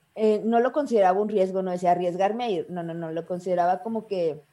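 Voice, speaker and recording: A woman speaks at a fairly quick pace in a medium pitch, her tone dark and mellow. Her intonation stays fairly even, and the recording is very clean with a silent background. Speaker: journalist. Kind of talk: casual interview.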